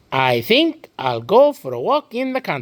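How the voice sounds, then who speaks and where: At a moderate pace, a put-on character voice jumps through very wide pitch swings in a dry, close sound with no echo. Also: man. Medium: read story. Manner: scolding, finger-wagging.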